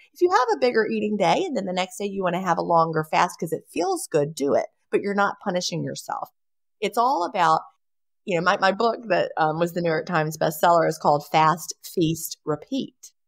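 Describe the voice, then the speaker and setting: A woman's normal speaking voice, fairly low in pitch, fairly quick and with lively intonation. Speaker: bestselling author. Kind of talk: interview answer.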